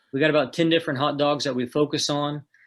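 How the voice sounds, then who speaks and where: Against a quiet background, a man talks at a fairly quick pace in an Oklahoma accent. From northeast Oklahoma. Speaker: food truck owner. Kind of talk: casual interview.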